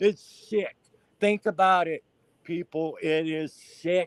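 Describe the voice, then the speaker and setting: Very slow and fairly high-pitched, this man talks with an Appalachian accent and ordinary pitch variation. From West Virginia, Appalachia. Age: 60s. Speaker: caller guest on a crime discussion show. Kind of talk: heated opinion talk. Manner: animated.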